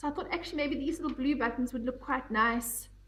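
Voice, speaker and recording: Amid noticeable background noise, a woman with a high pitch and ordinary pitch variation speaks at a fairly quick pace. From South Africa, English-speaking family. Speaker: knitting podcaster. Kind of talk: casual chat. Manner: rambling, conversational with frequent ums.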